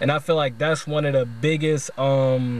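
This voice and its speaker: At a moderate pace, a man with a fairly high pitch speaks with fairly even intonation, in a dry sound with no echo and light background noise. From US South, Louisiana. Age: 20s. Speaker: video essayist. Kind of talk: video essay monologue. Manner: casual, slangy. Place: car. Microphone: phone near.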